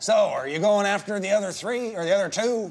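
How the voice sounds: A man puts on a character voice in a Southern accent, pitched high for a man. He speaks at a fairly quick pace over light background noise.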